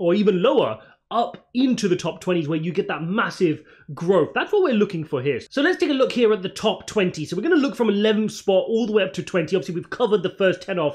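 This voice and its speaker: Over a quiet background, a man speaks very rapidly. His intonation is lively. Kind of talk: commentary. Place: home room.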